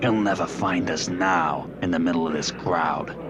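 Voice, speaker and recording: A man's put-on character voice, very deep and low, at a moderate pace and very even loudness, over loud background noise. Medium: audio drama.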